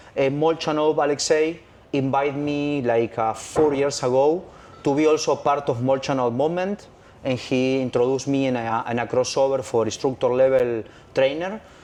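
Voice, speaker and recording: Speaking with a Spanish accent, a man keeps a moderate pace. His fairly high voice has fairly even intonation. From Argentina. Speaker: freediving instructor. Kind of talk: interview. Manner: halting.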